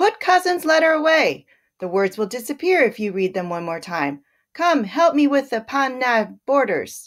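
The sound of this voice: A female-sounding put-on character voice, high-pitched, creaky, raised and projected, with very wide pitch swings, in a very clean recording with a silent background. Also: moderate pace.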